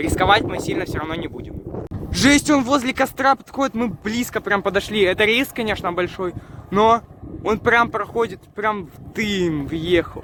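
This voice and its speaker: Over noticeable background noise, a man with a high pitch talks at a moderate pace, his intonation lively and his loudness swinging widely. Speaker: YouTube vlogger. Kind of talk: casual vlog commentary.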